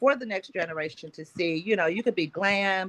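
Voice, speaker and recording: A woman with an Oklahoma accent, medium in pitch, bright and sharp in tone, with ordinary pitch variation. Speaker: agricultural organization founder. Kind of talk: panel discussion.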